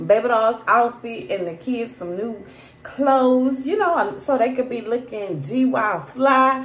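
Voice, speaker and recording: A woman speaks in a high voice. Audible room echo surrounds her. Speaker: family vlogger. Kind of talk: casual vlog chat. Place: home room. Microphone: phone near.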